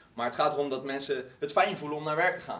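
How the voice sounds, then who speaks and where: Speech comes at a very fast pace over noticeable background noise, with audible room echo. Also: man. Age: 30s. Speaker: podcast host and company co-founder. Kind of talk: live talk. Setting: stage with audience.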